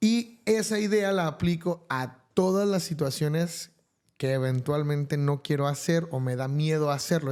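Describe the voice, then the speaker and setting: A man's fairly high voice shows ordinary pitch variation in a very clean recording with a silent background. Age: 30s. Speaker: podcast guest, math teacher and musician. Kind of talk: interview conversation. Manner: hesitant, many fillers.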